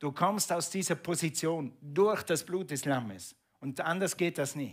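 Against a quiet background, a man speaks at a fairly slow pace in a fairly high pitch, with ordinary pitch variation. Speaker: preacher. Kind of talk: sermon. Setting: church. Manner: animated; conversational, asking the congregation questions. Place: church.

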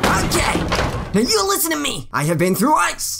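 The speaker uses a put-on character voice. The pitch swings very widely. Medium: dub. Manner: exasperated, shouting.

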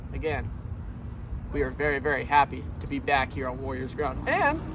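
A man is speaking, with noticeable background noise. The sound is dry, with no echo. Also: moderate pace. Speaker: sports fan vlogger. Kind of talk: casual vlog chat. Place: street. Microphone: phone near.

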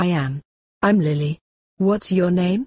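A woman does a cartoonish character voice at a medium pitch and a fairly slow pace, the sound dry and close with no echo. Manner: friendly, eager.

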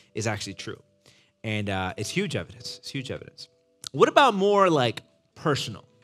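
A man talks at a fairly quick pace, his loudness swinging widely. Faint music plays behind him. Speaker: pastor teaching young adults. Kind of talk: interactive lecture. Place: hall.

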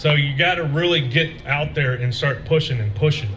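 A man with a plain, everyday voice, fairly high in pitch, talking at a fairly quick pace over light background noise. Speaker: veteran speaker; speaker. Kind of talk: rally speech. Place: stage. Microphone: podium.

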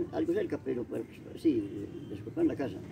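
Noticeable noise fills the background. Over it, a male speaker keeps a medium tempo. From rural Caldas, Colombia. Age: 80s. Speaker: elderly local storyteller. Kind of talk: oral storytelling of local legends. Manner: halting, with many repetitions. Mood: relaxed, amused storytelling. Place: garden. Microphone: camera far.

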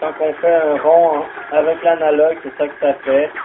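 A man with a Quebec accent at a very slow pace in a monotone, flat delivery, with noticeable background noise. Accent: Québécois French. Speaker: gaming YouTuber. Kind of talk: gameplay commentary. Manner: frequent exclamations and filler.

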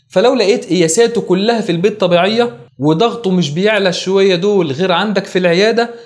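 A man with a high pitch and ordinary pitch variation speaks at a fairly quick pace. He keeps very even loudness and hardly pauses. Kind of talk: lecture. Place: studio. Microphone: lapel.

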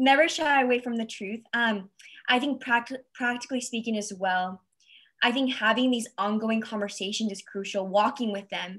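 Fairly high in pitch, a woman talks at a moderate pace with ordinary pitch variation. The background is quiet. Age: 20s. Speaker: guest. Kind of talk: panel discussion on video call. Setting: video call webinar. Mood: warm, earnest. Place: home room. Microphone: video call.

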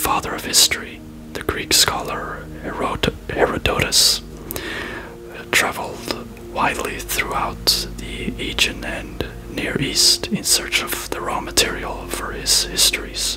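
Whispering and soft-spoken, the voice moves at a very slow pace over noticeable background noise. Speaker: reader. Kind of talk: reading aloud from a book. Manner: soft ASMR whisper reading aloud. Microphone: phone near.

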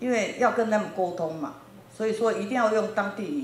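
Audible echo from the room surrounds the woman's voice. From Taiwan, New Taipei; Taiwan. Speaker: factory owner in Africa. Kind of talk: lecture. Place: classroom. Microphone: handheld.

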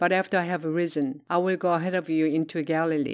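A woman talks at a moderate pace with a fairly low pitch and fairly even intonation. Her background is quiet. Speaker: Bible reader; Bible narrator. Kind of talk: reading aloud. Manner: plain, non-dramatized reading.

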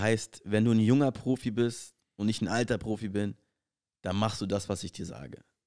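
A man speaks in a dark, mellow tone. The recording is very clean with a silent background, and the sound is dry and close with no echo. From Berlin, Germany. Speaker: professional basketball player, podcast co-host. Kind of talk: casual chat.

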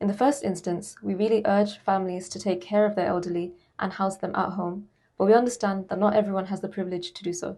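Her tone dark and mellow, a woman speaks with fairly even intonation. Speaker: charity CEO. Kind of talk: charity appeal.

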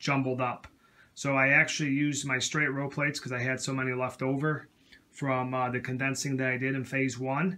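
In a monotone, flat delivery, a man talks at a fairly quick pace. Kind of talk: casual show-and-tell narration. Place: home room. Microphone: phone near.

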